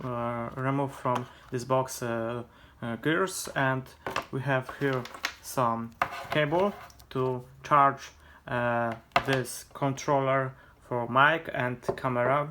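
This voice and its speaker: Speech in a Polish accent comes at a very slow pace over noticeable background noise. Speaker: vlogger. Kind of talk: unboxing tutorial. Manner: halting, many hesitations.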